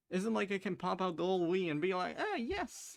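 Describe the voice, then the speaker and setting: With music playing underneath, the words come at a fairly quick pace. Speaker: let's play gamer. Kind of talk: gameplay commentary.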